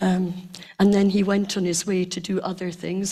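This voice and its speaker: In a Scottish accent, a somewhat breathy woman of medium pitch talks at a fairly slow pace with monotone, flat intonation. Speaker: community member. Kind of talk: reminiscence on stage.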